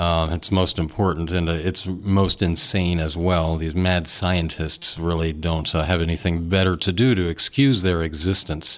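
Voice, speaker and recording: A man with an American accent, a very deep, low voice and fairly even intonation at a fairly slow pace, over noticeable background noise. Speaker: radio talk show host. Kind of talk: call-in talk radio. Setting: radio studio.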